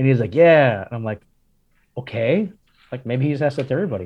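In an American accent, a man speaks at medium pitch. His pitch variation is ordinary. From Miami, Florida (Cuban American). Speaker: pastor. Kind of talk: interview.

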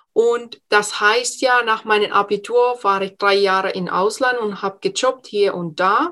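A woman with a Finnish accent speaks at a fairly high pitch in a bright, sharp tone with ordinary pitch variation. Her pace is fairly slow, with hardly any pauses. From Finland. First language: Finnish (speaking German). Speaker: entrepreneur and speech coach. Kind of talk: interview.

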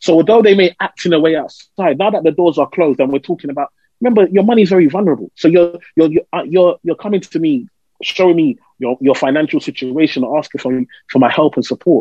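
This man speaks very fast with an East London accent and a high pitch for a man. His intonation is lively and his tone animated. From East London, England. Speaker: financial adviser. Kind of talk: interview.

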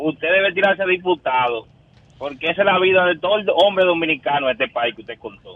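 A man at a very fast pace, high-pitched, with lively intonation and big swings in loudness. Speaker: caller. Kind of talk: casual chat. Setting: phone call.

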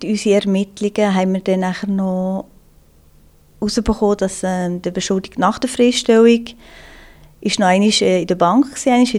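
At a moderate pace, a woman with an unremarkable speaking voice holds a medium pitch with ordinary pitch variation. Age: 30s. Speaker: police investigator. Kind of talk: interview.

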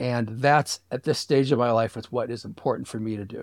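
With an American accent and an ordinary speaking voice, a man talks at a moderate pace and medium pitch with ordinary pitch variation, in a very clean recording with a silent background. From Michigan Upper Peninsula (Sault Ste. Marie). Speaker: book publisher and ship enthusiast. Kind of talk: interview conversation. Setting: lakeside cottage.

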